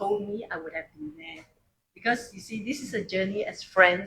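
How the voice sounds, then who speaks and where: A woman's fairly high-pitched, normal speaking voice, with lively intonation and a moderate pace. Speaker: speaker at a book launch. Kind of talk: congratulatory speech. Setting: live event in a coffee shop with audience.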